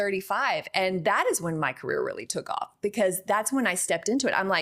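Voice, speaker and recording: Talking at a fairly quick pace with a Texan accent, a woman's voice shows very wide pitch swings. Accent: Texan accent, now embraced. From Texas. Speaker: actress. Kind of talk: interview. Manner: animated.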